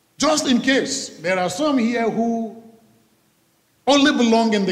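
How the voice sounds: A man with a high pitch and lively intonation speaks at a slow pace.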